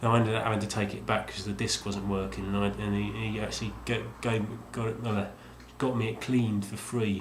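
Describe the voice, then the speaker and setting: Over noticeable background noise and audible room echo, a man mumbles at a fairly quick pace in a fairly low pitch with monotone, flat intonation. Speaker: video game collector vlogger. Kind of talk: casual vlog monologue. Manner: mumbling; halting, many fillers.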